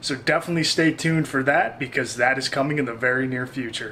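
Over light background noise, a man speaks in a flat monotone at a fairly quick pace. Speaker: travel vlogger. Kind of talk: casual vlog chat. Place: home room.

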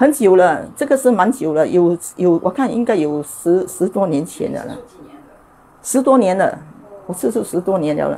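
Pausing long and often at a moderate pace, a woman swings very widely in pitch over light background noise. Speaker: cooking show host. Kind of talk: cooking tutorial; testimony. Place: kitchen. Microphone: lapel.

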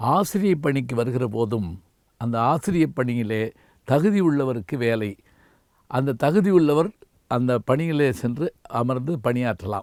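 In a very clean recording with a silent background, a normal speaking voice carries lively intonation. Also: man, medium pitch for a man. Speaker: retired Tamil professor and orator. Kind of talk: memorial tribute. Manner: measured, formal.

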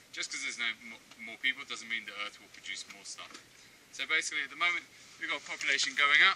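Noticeable background noise sits under the man as he talks. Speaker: zipline tour guide. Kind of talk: tour guide explanation to a group. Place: forest.

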